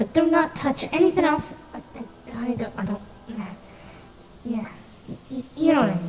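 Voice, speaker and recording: A man puts on a character voice at an extremely high pitch, with long, frequent pauses. Clear echo and clear background noise are present. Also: moderate pace. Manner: rambling, stammering, panicky.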